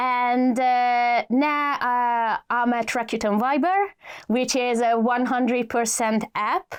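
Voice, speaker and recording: A high-pitched woman at a very slow pace, with ordinary pitch variation and very even loudness, on a very clean recording with a silent background. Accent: Hungarian. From Hungary. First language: Hungarian. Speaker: adtech executive. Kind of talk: podcast interview. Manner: hesitant, many fillers.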